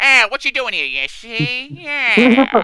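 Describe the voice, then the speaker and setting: In a put-on character voice, the speaker talks fairly slowly at a fairly high pitch. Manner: gruff, tough-guy.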